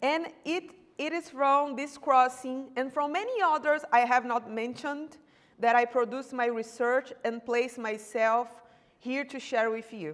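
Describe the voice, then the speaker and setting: A woman with a Brazilian accent speaks at a high pitch. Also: ordinary pitch variation, fairly slow pace. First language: Portuguese. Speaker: doctoral researcher. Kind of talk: academic seminar presentation. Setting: university seminar room. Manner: halting, with self-corrections.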